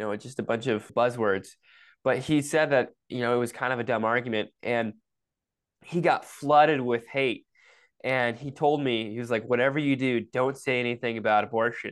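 The speaker is a man with a plain, everyday voice and an American accent, pitched at a medium level. He talks at a moderate pace with fairly even intonation over a quiet background. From Michigan. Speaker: pro-life activist and climber. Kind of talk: casual interview.

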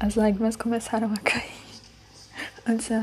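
Amid noticeable background noise, a woman with a fairly high pitch talks at a fairly quick pace in a flat monotone. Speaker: podcaster. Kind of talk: personal monologue.

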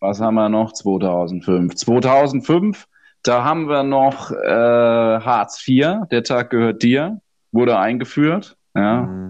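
A man at medium pitch talks at a very slow pace with lively intonation. The background is quiet. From Odenwald, southern Hesse (Birkenau). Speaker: podcast co-host. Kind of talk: casual chat.

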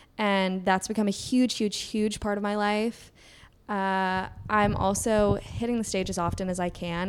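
A woman's medium-pitched voice with a slight Southern US accent. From Kentucky. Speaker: podcast co-host. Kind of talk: casual chat.

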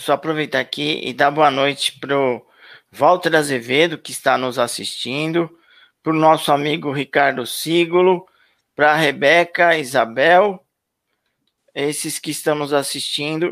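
This man has a fairly high pitch and a fairly slow pace. His intonation stays fairly even, but his loudness swings widely. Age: 50s. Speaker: YouTube channel host. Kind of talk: live stream interview.

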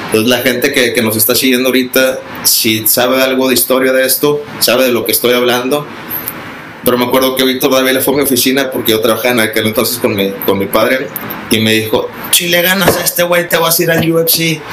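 A man's medium-pitched voice at a fairly quick pace, with ordinary pitch variation and very even loudness, amid audible room echo and noticeable background noise. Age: 30s. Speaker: mixed martial arts coach and former fighter. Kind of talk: casual interview. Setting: martial arts gym. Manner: halting, with many repetitions and fillers.

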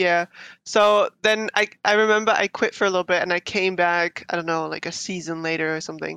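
With a Dutch accent, a woman speaks at a medium pitch and moderate pace with a bright, sharp tone and fairly even intonation, the sound dry and close with no echo over a quiet background. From Netherlands. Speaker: cosplayer. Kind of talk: casual chat. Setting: video call.

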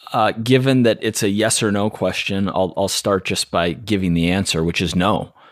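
A man with a normal speaking voice talks at a moderate pace and fairly low pitch, with hardly any pauses. His pitch variation is ordinary, and the recording is very clean with a silent background. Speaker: fitness coach podcaster. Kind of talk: casual chat.

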